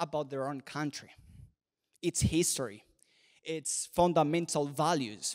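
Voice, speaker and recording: A man speaks fairly slowly with a Spanish accent. The recording is very clean with a silent background, and the sound is dry and close with no echo. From Venezuela. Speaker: commentator. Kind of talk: speech. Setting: stage with audience.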